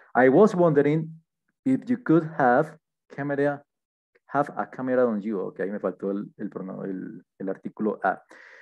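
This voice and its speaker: Against a quiet background, a man talks fairly slowly with very wide pitch swings and long, frequent pauses. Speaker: English teacher. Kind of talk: lesson. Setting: screen-shared online class. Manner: halting, with frequent fillers. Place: home room. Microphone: headset.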